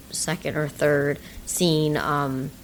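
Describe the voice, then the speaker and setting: A woman speaks quietly in a very deep, low pitch. Her intonation is monotone and flat. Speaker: movie review podcast co-host. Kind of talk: casual chat. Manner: hesitant, many fillers.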